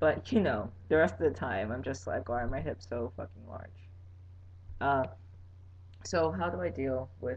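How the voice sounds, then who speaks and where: Somewhat breathy and fairly low-pitched, a man speaks at a moderate pace. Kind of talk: casual vlog. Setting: webcam recording at home. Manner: animated.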